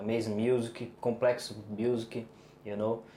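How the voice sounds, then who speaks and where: A man talks fairly slowly against noticeable background noise. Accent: Brazilian Portuguese. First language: Portuguese. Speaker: bass player. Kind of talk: interview. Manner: halting.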